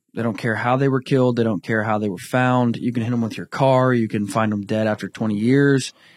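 The recording is very clean, with a silent background. A man speaks at medium pitch in an ordinary speaking voice. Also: fairly quick pace. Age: 20s. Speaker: bowhunting organization representative. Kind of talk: casual chat.

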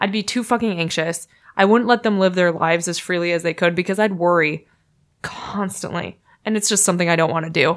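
Woman at a fairly quick pace, medium pitch, ordinary pitch variation, an unremarkable speaking voice. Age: 30s. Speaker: podcast guest. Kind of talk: casual chat.

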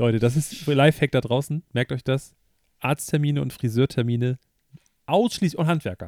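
A man's animated tone at medium pitch and a moderate pace, with ordinary pitch variation, long, frequent pauses, and a dry, close sound with no echo. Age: 30s. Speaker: podcast co-host. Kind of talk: casual chat.

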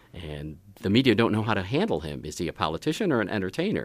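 Recorded very cleanly against a silent background, a man talks at a fairly quick pace with vocal fry. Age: 70s. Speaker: film scholar. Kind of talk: casual chat.

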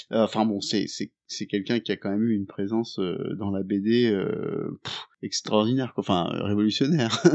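A man's fairly low voice at a moderate pace, with fairly even intonation and an ordinary speaking voice. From partly Indonesia. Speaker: podcast co-host. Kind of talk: casual chat.

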